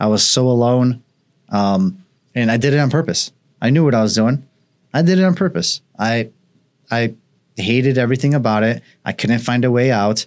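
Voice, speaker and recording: On a very clean recording with a silent background, a man talks at a moderate pace with long, frequent pauses, his medium-pitched voice holding very even loudness and ordinary pitch variation. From Poland, raised in Chicago area from age five. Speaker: business owner, podcast host. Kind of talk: casual interview. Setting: studio. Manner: animated.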